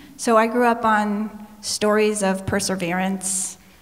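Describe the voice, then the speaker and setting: A woman speaks at a medium pitch with fairly even intonation, amid noticeable background noise and audible room echo. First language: Spanish. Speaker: panelist. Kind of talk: panel discussion.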